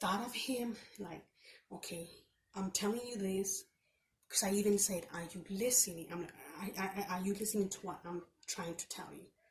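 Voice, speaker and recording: The somewhat breathy voice moves at a moderate pace with fairly even intonation, big swings in loudness, and long, frequent pauses. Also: woman, medium pitch for a woman. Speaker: vlogger with chronic illness. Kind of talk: casual vlog rant. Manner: halting, repetitive.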